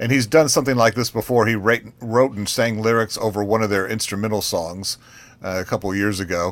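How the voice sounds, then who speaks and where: A man's plain, everyday voice, fairly low in pitch, with ordinary pitch variation and a fairly quick pace. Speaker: radio co-host. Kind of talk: casual chat.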